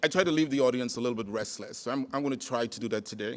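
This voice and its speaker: A man speaks with a Caribbean accent and ordinary pitch variation on a very clean recording with a silent background. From Trinidad. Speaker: conference speaker, former college president. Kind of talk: keynote talk.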